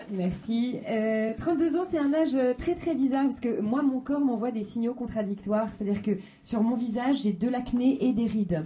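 Her high-pitched voice carries lively intonation at very even loudness, with audible room echo and noticeable background noise around the woman. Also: moderate pace. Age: 30s. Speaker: stand-up comedian. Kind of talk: stand-up. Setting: stage with audience.

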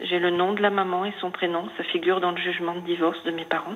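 Against noticeable background noise, a woman talks at a fairly quick pace in a fairly low, monotone and flat voice. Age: 50s. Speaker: caller. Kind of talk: personal testimony. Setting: phone call.

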